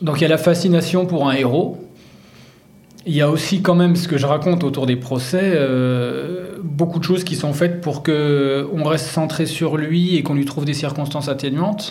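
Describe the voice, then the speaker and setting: There is audible room echo as a man talks in a fairly high voice with fairly even intonation. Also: moderate pace. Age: 40s. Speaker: sports journalist and author. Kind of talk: interview.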